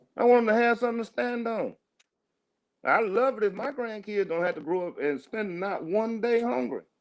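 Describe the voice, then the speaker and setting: A man speaks in a high pitch with an animated tone. His pace is moderate and his pitch varies in an ordinary way. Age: 60s. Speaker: podcast host. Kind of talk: casual chat. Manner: repetitive, halting starts.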